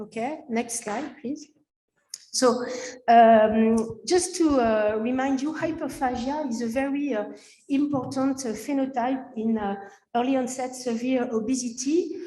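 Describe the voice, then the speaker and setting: A woman with a French accent, high pitch, dark, mellow tone, and fairly slow pace, with audible room echo. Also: ordinary pitch variation. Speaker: physician and researcher. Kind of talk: conference presentation. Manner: halting, many fillers.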